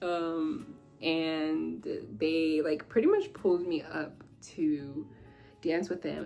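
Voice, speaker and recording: With music in the background, a woman's voice is heard. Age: 20s. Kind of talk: casual talk to camera.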